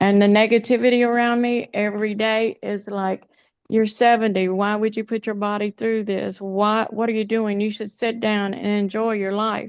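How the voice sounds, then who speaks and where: A woman speaks at a moderate pace with a fairly high pitch. Her intonation is monotone and flat. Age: 70s. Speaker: webinar participant sharing fitness journey. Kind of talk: testimony.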